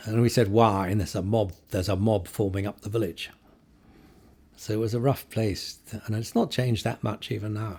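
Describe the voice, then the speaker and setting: A somewhat breathy, dark, mellow tone at a fairly quick pace, with fairly even intonation. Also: man, fairly low pitch for a man. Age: 70s. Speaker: photojournalist. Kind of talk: interview conversation. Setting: in-person interview. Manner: hesitant, with repetitions.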